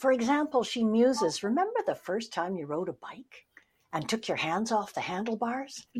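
A woman speaks with a fairly high pitch and lively intonation. Her voice is somewhat breathy. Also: moderate pace. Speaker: podcast co-host. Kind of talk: casual interview chat.

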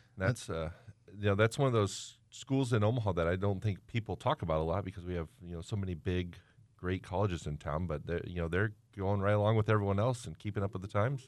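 Against a quiet background, a man talks at a very fast pace with a fairly low pitch and ordinary pitch variation. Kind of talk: casual radio panel chat.

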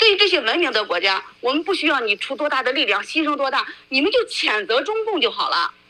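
Over noticeable background noise, a woman with a high voice talks very fast in a raised, projected voice, her pitch swinging very widely and hardly any pauses breaking her speech. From mainland China. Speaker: former human rights lawyer, activist. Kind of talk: interview.

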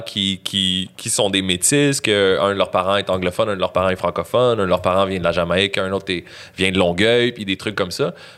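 On a very clean recording with a silent background, a man's fairly low voice has a bright, sharp tone and ordinary pitch variation. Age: 30s. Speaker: rapper. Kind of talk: casual chat.

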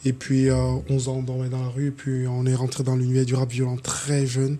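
A man speaks at a moderate pace with a medium pitch. Noticeable background noise runs underneath. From Cameroon. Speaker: hip-hop artist. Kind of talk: casual chat.

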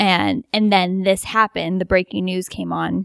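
An ordinary speaking voice from a woman with an American accent, medium in pitch and moderate in pace, in a very clean, dry, close recording with a silent background and no echo. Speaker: lucid dreamer. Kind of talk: casual chat. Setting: home basement.

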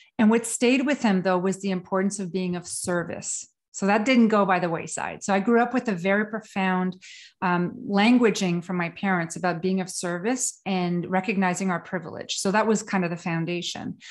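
Someone speaks in a French Canadian accent at a moderate pace with ordinary pitch variation. The recording is very clean, with a silent background. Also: woman, medium pitch for a woman. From Quebec, Canada. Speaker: trauma specialist and consultant. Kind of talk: casual interview.

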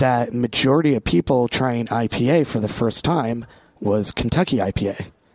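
A man with an American accent and a plain, everyday voice speaks at a moderate pace in a medium pitch, with ordinary pitch variation. His loudness stays very even, and the sound is dry and close with no echo. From Vermont, US. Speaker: brand representative for a beer and spirits company. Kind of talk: casual chat, live interview. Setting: co-working space, live broadcast.

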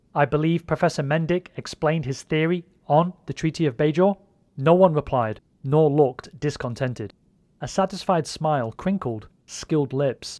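A man's unremarkable speaking voice, fairly high in pitch, at a moderate pace with ordinary pitch variation, in a dry, close sound with no echo and a very clean recording against a silent background. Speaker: fan-fiction audio drama creator and narrator. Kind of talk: dramatic narration of a scripted audio story. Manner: measured, suspenseful, storyteller delivery.

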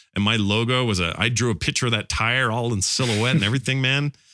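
On a very clean recording with a silent background, a man with a plain, everyday voice talks fairly quickly at a medium pitch with ordinary pitch variation. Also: very even loudness. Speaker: podcaster guest. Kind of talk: casual chat.

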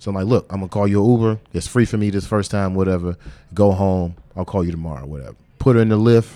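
This man has a fairly low pitch and a dark, mellow tone. He speaks at a very fast pace with ordinary pitch variation. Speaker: podcaster. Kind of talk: casual interview. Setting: pop-up podcast at a creative office. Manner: animated.

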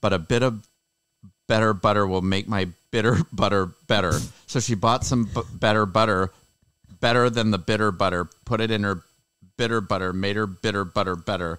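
A man's robotic, put-on character voice, fairly low in pitch, at a moderate pace with long, frequent pauses. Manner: robotic, monotone.

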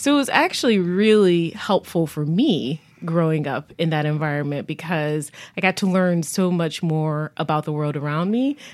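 With an American accent, a woman uses an unremarkable speaking voice, fairly low in pitch, with ordinary pitch variation at a moderate pace. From Buffalo, New York. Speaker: health foundation executive. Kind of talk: radio interview. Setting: studio.

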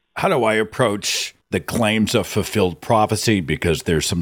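A man speaks at a moderate pace with a fairly low pitch and ordinary pitch variation. It is an unremarkable speaking voice. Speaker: podcast host. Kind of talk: casual call-in talk show.

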